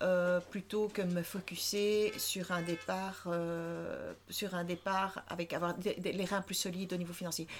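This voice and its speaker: A woman's medium-pitched voice at a very slow pace, with monotone, flat intonation. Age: 50s. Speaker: entrepreneur. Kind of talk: interview.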